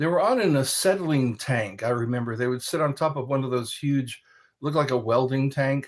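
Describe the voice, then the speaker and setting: A medium-pitched male voice at a fairly quick pace. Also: ordinary pitch variation. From military family, moved around, born in California. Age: 60s. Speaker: livestream host. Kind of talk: casual livestream chat reading comments. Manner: pauses for breath between phrases; repetitive.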